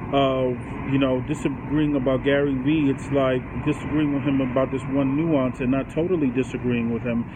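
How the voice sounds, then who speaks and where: A man with a fairly high pitch and fairly even intonation at a moderate pace, over noticeable background noise. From grew up in a poor urban neighborhood. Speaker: vlogger on business and self-improvement; vlogger on business. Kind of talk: casual monologue to camera. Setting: recorded on a cell phone. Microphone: inexpensive cell phone mic; phone near.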